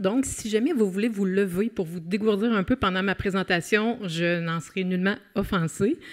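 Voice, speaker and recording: Speaking at a moderate pace in a Quebec accent, a woman uses a medium pitch with ordinary pitch variation. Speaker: criminologist and professor. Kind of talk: conference talk. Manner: many hesitations (euh).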